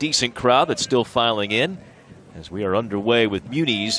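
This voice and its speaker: A man talks at a fairly quick pace with ordinary pitch variation, his voice dry with no echo over light background noise. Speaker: play-by-play announcer. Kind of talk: sports commentary. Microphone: headset.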